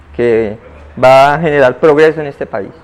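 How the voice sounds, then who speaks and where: A man speaks in a plain, everyday voice, pitched fairly high. His pace is moderate. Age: 60s. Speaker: conflict victim. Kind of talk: interview.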